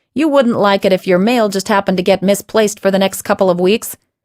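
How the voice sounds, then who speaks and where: Talking very fast in a growling, put-on character voice, a woman keeps a medium pitch, fairly even intonation and very even loudness, all in a dry, close sound with no echo. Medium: read story. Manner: wry, joking.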